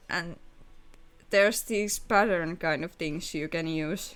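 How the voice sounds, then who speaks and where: With a Finnish accent, a woman speaks at a fairly low pitch on a very clean recording with a silent background. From Finland. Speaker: streamer. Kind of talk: casual chat. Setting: live stream.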